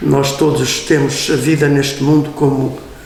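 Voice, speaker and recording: A man's fairly high-pitched voice, with audible room echo and noticeable background noise. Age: 70s. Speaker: priest. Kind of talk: interview. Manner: halting.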